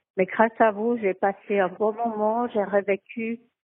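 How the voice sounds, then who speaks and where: A woman is speaking. Her pace is very slow. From French-speaking Switzerland. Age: 80s+. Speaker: interviewee. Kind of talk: voice message. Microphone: phone voice message.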